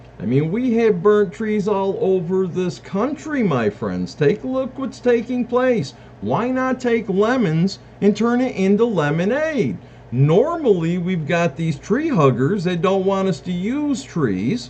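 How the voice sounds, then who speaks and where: With very wide pitch swings, a man speaks high in an American accent. Background noise is noticeable. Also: fairly slow pace. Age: 60s. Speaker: self-declared presidential candidate. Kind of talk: campaign monologue.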